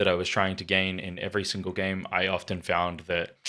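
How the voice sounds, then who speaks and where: Very deep and low in pitch, a man speaks with a bright, sharp tone in an Australian accent. The recording is very clean, with a silent background. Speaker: card game YouTuber. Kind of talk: deck review commentary. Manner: soft-spoken.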